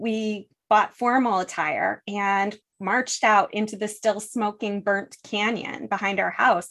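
A woman with an unremarkable speaking voice and an American accent talks at a fairly slow pace with a medium pitch and fairly even intonation against a quiet background. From US, western New York (Buffalo). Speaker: energy technology executive. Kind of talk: interview.

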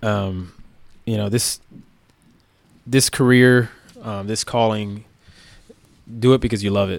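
This man's medium-pitched voice carries an American accent. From South Florida, Miami. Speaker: police officer. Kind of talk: casual interview.

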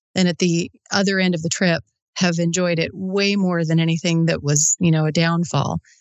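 Fairly low in pitch, a woman with an American accent talks at a fairly quick pace in monotone, flat intonation. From US Midwest, South Dakota. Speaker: motorcycle traveller co-host. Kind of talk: casual chat. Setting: video call.

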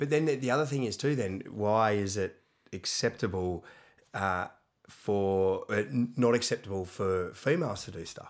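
The very clean recording, with a silent background, features a man with an Australian accent. His fairly low voice shows ordinary pitch variation. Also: moderate pace. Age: 30s. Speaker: CrossFit gym owner and coach. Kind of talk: casual chat.

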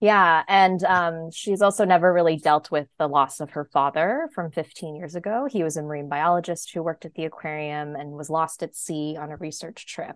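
With an American accent and an unremarkable speaking voice, a woman talks at a moderate pace in a fairly low pitch, her intonation fairly even but her loudness swinging widely, in a dry, close sound with no echo and a quiet background. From US Northeast, New Jersey suburbs. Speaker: novelist. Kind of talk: interview.

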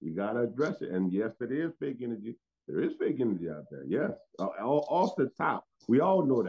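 At a fairly quick pace, a man with a medium pitch makes big pitch swings, his voice carrying a slightly husky edge and vocal fry.

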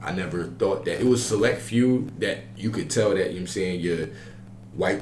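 Amid audible room echo and noticeable background noise, a man speaks at a moderate pace with fairly even intonation. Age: 20s. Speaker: college podcast host. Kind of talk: casual chat.

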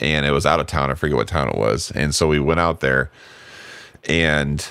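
Vocal fry marks this man's very deep, low pitch. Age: 40s. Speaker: car podcast host. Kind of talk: casual chat.

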